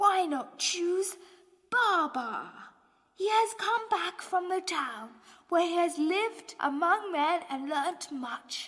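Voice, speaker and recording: In a put-on character voice, a woman speaks very slowly at an extremely high pitch, and her voice is shaky. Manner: wise, earnest.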